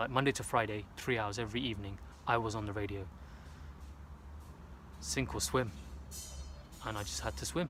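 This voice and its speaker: Music plays behind a man whose fairly low voice swings very widely in pitch as he talks at a fairly quick pace broken by long, frequent pauses. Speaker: radio presenter and rapper. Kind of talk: casual talk to camera. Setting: outdoors.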